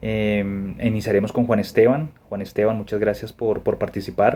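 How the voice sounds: Fairly low male voice, dark and mellow in tone, at a moderate pace with little pitch movement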